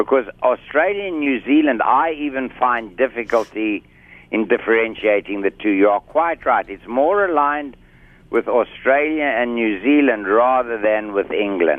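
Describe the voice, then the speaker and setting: A man speaks in a South African accent at a medium pitch. His intonation is lively. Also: moderate pace. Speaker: medical doctor and hypnotherapist. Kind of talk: interview.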